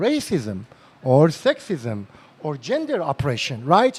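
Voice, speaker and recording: Speaking at a fairly slow pace, a man talks with a non-native accent. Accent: non-native English accent, self-described. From northern Iran. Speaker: psychotherapist and lecturer. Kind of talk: lecture. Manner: animated.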